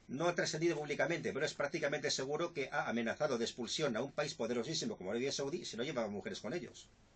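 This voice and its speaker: A man at a very fast pace, fairly high pitch, and lively intonation, with noticeable background noise. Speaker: journalist and author. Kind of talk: radio interview answer.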